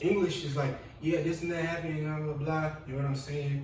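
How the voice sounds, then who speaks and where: A man at a fairly quick pace and fairly high pitch, with audible room echo and noticeable background noise. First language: Igbo. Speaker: panel guest. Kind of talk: casual group discussion. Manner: animated.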